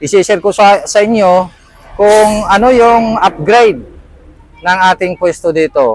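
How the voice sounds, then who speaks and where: The recording of the man is dry and close, with no echo. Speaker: vlogger and small food business owner. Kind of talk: casual vlog tour.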